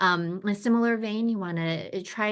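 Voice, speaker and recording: A normal speaking voice moves at a fairly quick pace. Its pitch varies in an ordinary way. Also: woman. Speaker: brain injury professional presenting a training. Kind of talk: educational presentation. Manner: many fillers and restarts.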